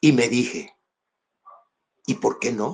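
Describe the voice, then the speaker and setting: A man at a very slow pace with lively intonation. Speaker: church speaker giving testimony, former baseball player. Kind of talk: testimony.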